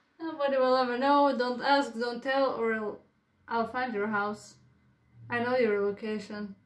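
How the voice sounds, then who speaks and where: Audible room echo surrounds a woman speaking at a moderate pace in a high pitch with fairly even intonation. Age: 20s. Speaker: vlogger. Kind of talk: casual vlog chat. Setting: at home, filming own room. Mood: playful, joking. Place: home room. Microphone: phone near.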